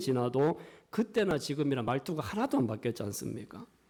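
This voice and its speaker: With a strong Gyeongsang accent, a man's dark, mellow voice swings very widely in pitch on a very clean recording with a silent background. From Gyeongsang region, South Korea. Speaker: pastor. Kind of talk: sermon.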